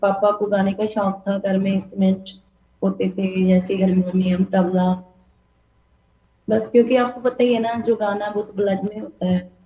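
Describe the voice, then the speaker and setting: This woman has a Punjabi accent. Her medium-pitched voice keeps a fairly even intonation. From Punjab, India. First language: Punjabi (speaking Hindi). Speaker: singer. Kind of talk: interview. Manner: halting.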